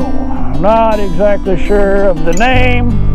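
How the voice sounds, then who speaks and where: Clear music plays in the background of a dry recording with no echo. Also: man. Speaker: travel vlogger. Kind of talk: casual vlog chat. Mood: upbeat, relaxed. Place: forest. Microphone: phone near.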